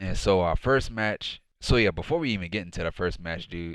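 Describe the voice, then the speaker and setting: A quiet man with a very deep, low voice talks at a moderate pace in a very clean recording with a silent background. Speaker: wrestling show reviewer. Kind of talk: casual review monologue. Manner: quiet, low voice; casual, filler-heavy.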